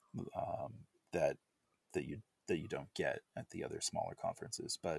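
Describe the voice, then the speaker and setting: The man speaks at a moderate pace. The sound is dry and close, with no echo. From United States. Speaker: software developer. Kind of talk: casual chat.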